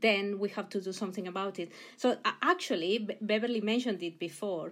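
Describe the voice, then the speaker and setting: A Mexican accent on a very clean recording with a silent background. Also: woman. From Mexico. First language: Spanish. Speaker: university president and engineering professor. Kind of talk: interview. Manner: halting, many repetitions.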